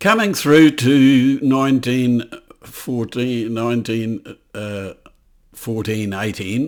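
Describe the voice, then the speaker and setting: Speaking with a New Zealand accent, a man talks at a very slow pace. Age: 80s+. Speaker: political commentator. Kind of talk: video monologue. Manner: halting.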